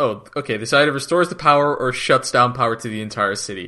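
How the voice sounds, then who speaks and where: A man mumbles in a put-on character voice at a medium pitch. His pace is very fast. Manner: mumbling under breath.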